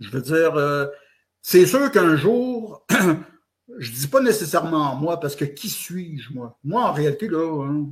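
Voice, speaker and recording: A man with a Quebec accent speaks very slowly, with long and frequent pauses. His voice is fairly high-pitched, with lively intonation and big swings in loudness. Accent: Québécois French. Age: 60s. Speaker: author and blogger. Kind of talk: interview. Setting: online audio space.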